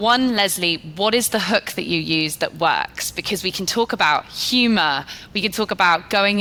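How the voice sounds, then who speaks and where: The speaker has a British accent. The tone is bright and sharp. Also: woman. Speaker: podcast host, sales leader. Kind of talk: podcast interview.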